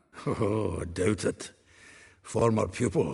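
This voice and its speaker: Putting on a character voice, a man speaks raspily at a fairly low pitch and a fairly slow pace, his intonation lively. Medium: video game. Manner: chatty, laughing.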